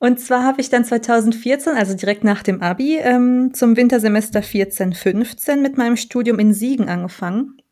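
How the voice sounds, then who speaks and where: Speaking at a moderate pace with hardly any pauses, a woman has a fairly high pitch and a dark, mellow tone. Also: ordinary pitch variation. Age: 20s. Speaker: podcast co-host, PR trainee. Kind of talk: casual chat.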